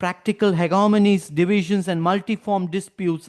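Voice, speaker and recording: A man speaks with a Tamil accent. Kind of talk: academic lecture. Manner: formal.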